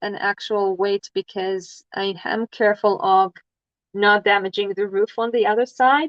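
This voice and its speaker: A woman with a non-native accent, medium pitch and a fairly slow pace. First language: not English. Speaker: crafting livestreamer. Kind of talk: casual livestream chat while crafting. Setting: livestream. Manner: hesitant, many fillers.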